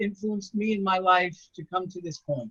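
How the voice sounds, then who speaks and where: A man with an American accent and ordinary pitch variation. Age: 70s. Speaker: retired school principal and rabbi. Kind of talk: inspirational talk.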